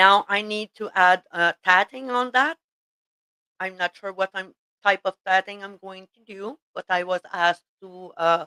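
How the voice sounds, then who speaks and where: In a French Canadian accent, a woman speaks fairly slowly at a medium pitch with a bright, sharp tone, ordinary pitch variation and big swings in loudness, in a dry, close sound with no echo. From Quebec. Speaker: tatting teacher. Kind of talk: casual chat. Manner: halting, many fillers.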